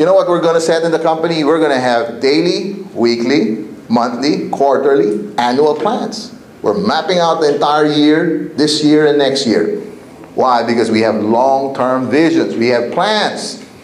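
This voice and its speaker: Noticeable background noise and audible room echo surround a man whose fairly high voice has lively intonation. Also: very even loudness. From Asia, with eleven years in Africa. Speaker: network marketing trainer. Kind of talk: motivational seminar talk. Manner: energetic, repetitive call-and-response.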